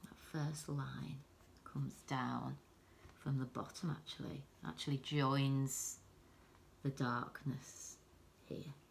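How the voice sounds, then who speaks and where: Soft-spoken, a woman talks at a very slow pace, leaving long, frequent pauses. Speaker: art teacher. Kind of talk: tutorial.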